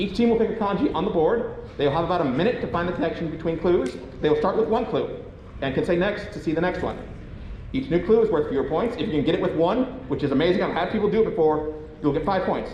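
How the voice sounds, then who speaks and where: A man talks very fast in a high pitch with lively intonation. Noticeable background noise and audible room echo fill the recording. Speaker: quiz game host at a convention panel. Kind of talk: live game show hosting. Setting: convention panel room with audience.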